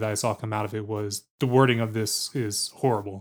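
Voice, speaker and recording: The recording is very clean. A man talks over a silent background. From New Jersey and Virginia. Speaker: podcast producer and co-host. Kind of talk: casual banter podcast chat. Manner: playful, jokey.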